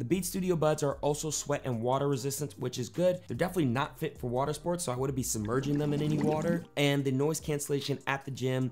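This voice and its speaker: The speech runs at a very fast pace with hardly any pauses. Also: man, ordinary pitch variation. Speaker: tech reviewer. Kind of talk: product review talk. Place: home room.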